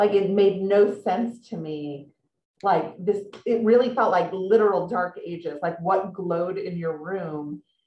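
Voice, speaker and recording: With a dark, mellow tone and ordinary pitch variation, a woman talks at a fairly slow pace, with audible room echo against a quiet background. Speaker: author and magazine writer, interviewer. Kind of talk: author interview. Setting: video call. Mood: warm, amused. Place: home room. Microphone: video call.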